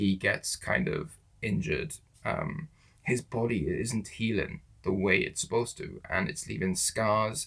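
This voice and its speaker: Using vocal fry, a man speaks at a medium pitch and moderate pace, his pitch swinging very widely. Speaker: movie reviewer. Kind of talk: video review. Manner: animated.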